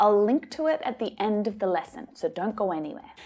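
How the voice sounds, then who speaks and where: A woman with an Australian accent speaks in a dark, mellow tone, her pitch swinging very widely. The recording is very clean, with a silent background. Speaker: English teacher. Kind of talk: tutorial.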